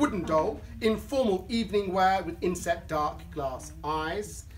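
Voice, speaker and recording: A man talks at a very slow pace, with light noise behind him. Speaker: auctioneer. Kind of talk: auction calling. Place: hall. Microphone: camera far.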